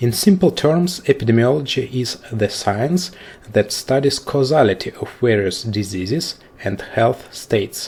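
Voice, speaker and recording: A somewhat breathy voice with a non-native accent and lively intonation. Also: man, medium pitch for a man, fairly slow pace. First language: not English. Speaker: statistics lecturer. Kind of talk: lecture. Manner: formal.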